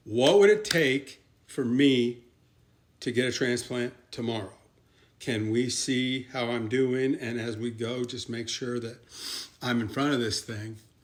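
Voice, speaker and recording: Here a man with a plain, everyday voice speaks at a fairly slow pace and medium pitch with fairly even intonation. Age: 60s. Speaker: kidney transplant patient sharing advice. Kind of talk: informal instructional talk. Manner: casual and conversational.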